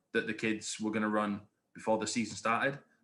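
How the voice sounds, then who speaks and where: In a very clean recording with a silent background, a man with an English accent talks in a monotone, flat intonation, his fairly low pitch carrying a bright, sharp tone. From England. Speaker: high school history teacher and youth soccer coach. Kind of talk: podcast interview. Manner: hesitant, many fillers.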